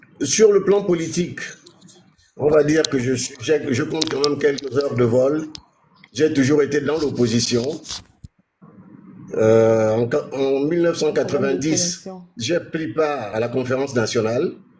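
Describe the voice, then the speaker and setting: Long, frequent pauses break up this man's speech at a fairly slow pace. His pitch is fairly high, with ordinary pitch variation. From Gabon. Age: 60s. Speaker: politician. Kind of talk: interview.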